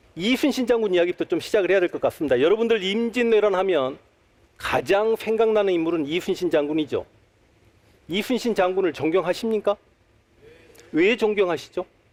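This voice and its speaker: A man with a Jeolla accent talks at a fairly quick pace with a high pitch. Long, frequent pauses run through his speech. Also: ordinary pitch variation. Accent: Jeolla dialect Korean. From Honam (Jeolla region), Korea. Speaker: history lecturer. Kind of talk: public lecture. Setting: stage with audience at a talk concert.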